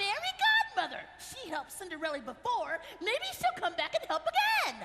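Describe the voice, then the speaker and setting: A put-on character voice, extremely high in pitch, runs at a moderate pace over loud background noise. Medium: stage play.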